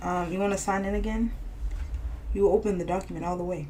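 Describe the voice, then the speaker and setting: The speech comes at a very fast pace. Noticeable background noise runs underneath. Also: woman. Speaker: podcast co-host. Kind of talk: casual chat.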